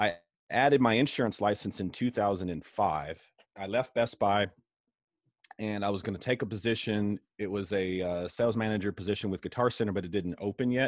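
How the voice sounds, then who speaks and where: A man's normal speaking voice, fairly low in pitch with ordinary pitch variation, dry with no echo against a quiet background. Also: moderate pace. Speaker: insurance broker and sales leader. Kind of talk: casual interview. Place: office. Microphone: video call.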